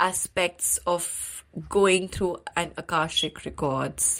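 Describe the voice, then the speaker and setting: A woman with an Indian accent, fairly low in pitch, at a very slow pace, on a very clean recording with a silent background. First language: Hindi. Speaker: podcast host. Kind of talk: interview.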